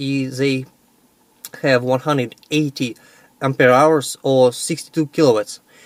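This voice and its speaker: In a Russian accent, a man at a medium pitch talks at a fairly slow pace, the sound dry and close with no echo. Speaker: electric car owner and battery seller. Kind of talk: video vlog and sales pitch. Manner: halting with many fillers.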